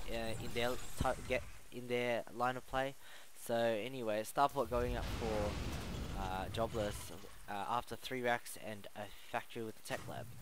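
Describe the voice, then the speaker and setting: A man mumbles. His intonation stays fairly even. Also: medium pitch for a man, fairly slow pace. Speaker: game commentator. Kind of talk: live commentary. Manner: mumbling.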